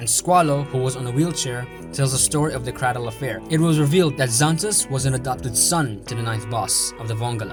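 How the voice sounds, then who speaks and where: Music plays behind a man speaking with a non-native accent at a very fast pace. His pitch is medium, with ordinary variation. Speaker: anime analysis youtuber. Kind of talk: video essay narration.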